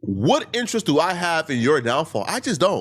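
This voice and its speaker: A man's fairly high-pitched voice with vocal fry at a moderate pace, in a very clean recording with a silent background. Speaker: online commentator, live streamer. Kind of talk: video commentary response.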